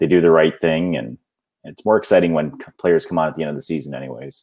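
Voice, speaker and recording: Very fast speech from a man with a very deep, low pitch, vocal fry and ordinary pitch variation. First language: not English. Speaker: fantasy football podcast co-host. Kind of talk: casual chat.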